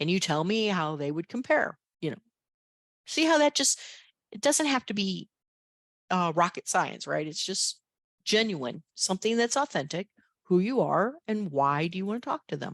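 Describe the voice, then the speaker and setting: Animated and medium-pitched, a woman swings her pitch very widely at a moderate pace, with long, frequent pauses. The sound is dry and close with no echo, over a quiet background. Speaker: career workshop presenter. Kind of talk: workshop lecture.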